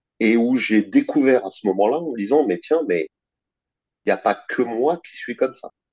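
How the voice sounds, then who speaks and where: The man's medium-pitched voice comes across with a dry, close sound with no echo. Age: 50s. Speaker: finance worker, dominant interviewee. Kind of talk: interview testimony.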